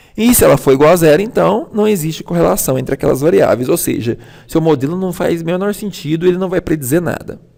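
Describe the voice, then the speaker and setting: At a very fast pace, a man with a high voice speaks with lively intonation. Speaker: university lecturer. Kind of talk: lecture.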